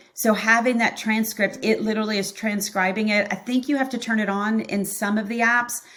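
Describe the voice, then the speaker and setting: Over noticeable background noise, a woman with a fairly high pitch talks at a fairly quick pace with hardly any pauses, her intonation monotone and flat. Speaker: accounting practice consultant. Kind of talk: podcast interview. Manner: fast.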